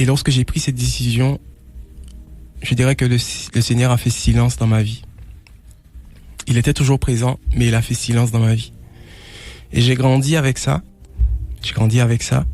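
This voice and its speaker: At a moderate pace, a man talks with long, frequent pauses. His voice is somewhat breathy and medium in pitch, with fairly even intonation. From Martinique (Trinité). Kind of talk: testimony. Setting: radio broadcast. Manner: halting, with frequent repetitions.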